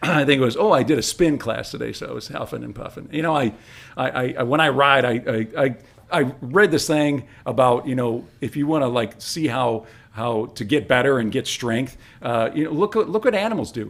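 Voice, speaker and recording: With lively intonation and a fairly quick pace, a man speaks at a medium pitch. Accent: Michigan. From Detroit, Michigan. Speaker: former radio host, trail club president, realtor. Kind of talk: casual interview chat. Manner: animated.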